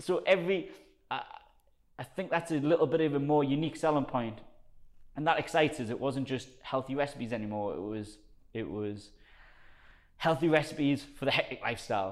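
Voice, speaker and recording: An energetic man with a strong Geordie accent, fairly high-pitched, at a fairly quick pace, with ordinary pitch variation and long, frequent pauses. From northern England, South Shields. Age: 30s. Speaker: personal trainer. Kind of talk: casual chat.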